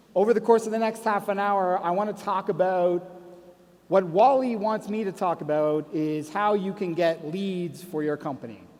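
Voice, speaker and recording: In a Canadian accent, a man with a high pitch talks at a moderate pace with ordinary pitch variation. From Canada. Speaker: conference speaker. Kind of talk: conference talk.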